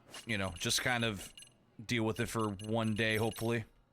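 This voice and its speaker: A man with a fairly low pitch speaks at a moderate pace against noticeable background noise. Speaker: video game streamer. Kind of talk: live gameplay commentary. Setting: livestream. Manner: casual, conversational.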